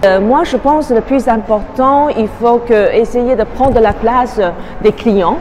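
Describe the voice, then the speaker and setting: Very slow speech from a woman with a Chinese accent, fairly high in pitch with ordinary pitch variation, with audible room echo and noticeable background noise. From Taiwan. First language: Mandarin (speaking French). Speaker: tour guide. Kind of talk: interview. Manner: halting, many hesitations.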